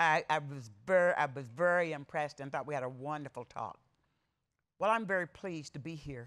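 A woman's very deep, low voice with ordinary pitch variation against a quiet background. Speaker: conference keynote speaker. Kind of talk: speech to an audience. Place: hall. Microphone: podium.

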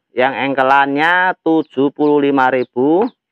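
A man talks at a very slow pace with fairly even intonation. The sound is dry with no echo, against a quiet background. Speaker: plant seller. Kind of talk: street-market style sales pitch, reeling off plant names and prices. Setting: video recorded at plant nursery. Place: garden. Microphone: phone near.

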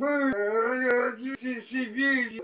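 A man speaking at a very slow pace, with noticeable background noise. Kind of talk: rambling casual talk. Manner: slurred drunken declaration. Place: home room. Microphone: phone near.

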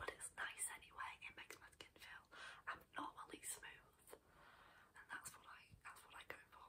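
At a moderate pace, a woman whispers in a relaxed tone. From UK. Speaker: ASMR creator. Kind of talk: casual talk to camera, product demonstration. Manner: soft-spoken, relaxed, chatty, whispery. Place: home room. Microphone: earbuds.

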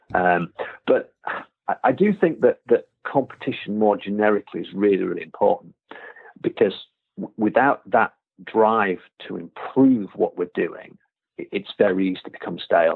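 With a Yorkshire accent, a man talks at a moderate pace, leaving long, frequent pauses. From Yorkshire, England. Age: 40s. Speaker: karate instructor. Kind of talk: interview conversation. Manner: halting, many fillers and repeated words.

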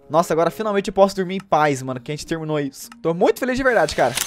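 Music plays in the background. A man speaks with lively intonation. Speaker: gaming streamer. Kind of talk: gameplay commentary. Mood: happy, relieved. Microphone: studio mic.

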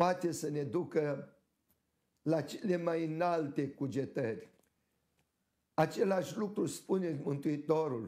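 A man with a fairly high pitch speaks in a dark, mellow tone. His pace is very slow, with long, frequent pauses. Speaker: Orthodox archbishop. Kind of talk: sermon.

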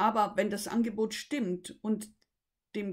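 Against a quiet background, a woman with a fairly high pitch speaks at a very slow pace. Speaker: voice coach. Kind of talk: tutorial. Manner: halting. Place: home room. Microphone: webcam.

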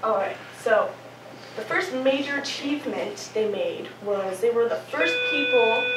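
Against noticeable background noise, a high-pitched woman speaks at a fairly slow pace. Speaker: presenter. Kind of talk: class presentation. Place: classroom. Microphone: camera far.

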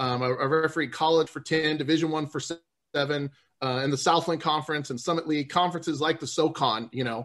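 A man with an American accent and a plain, everyday voice talks at a fairly quick pace. His pitch varies in an ordinary way over a quiet background. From US South, New Orleans. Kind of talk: interview.

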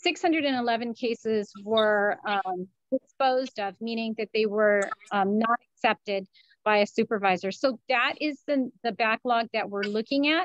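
A woman's voice, dry and echo-free, against a quiet background. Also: ordinary pitch variation, fairly slow pace. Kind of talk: interview answer. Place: office. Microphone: video call.

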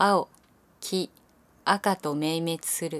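In a very clean recording with a silent background and a dry, close sound with no echo, a woman speaks at a very slow pace, her fairly low pitch showing ordinary pitch variation. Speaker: actress. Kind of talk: poetry reading.

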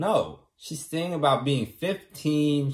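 The background is quiet as a man talks. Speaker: vlogger. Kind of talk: casual vlog chat. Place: home room. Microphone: phone near.

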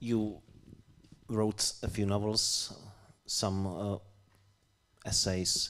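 A very slow pace, little pitch movement and a fairly bright tone. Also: man, fairly low pitch for a man.

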